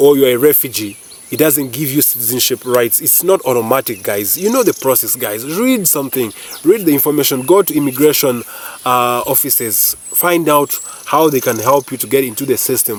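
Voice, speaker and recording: Noticeable background noise sits behind a man speaking at a medium pitch and a fairly quick pace. His tone is animated, with ordinary pitch variation. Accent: Ugandan. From Uganda. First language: not English (Ugandan language). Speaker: YouTuber. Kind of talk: casual vlog commentary. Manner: animated, hesitant with repetitions.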